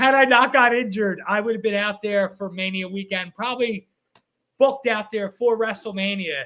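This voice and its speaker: At a moderate pace, a man uses a raised, projected voice that is high-pitched with a bright, sharp tone and ordinary pitch variation. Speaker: pro wrestler and podcast co-host. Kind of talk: casual chat.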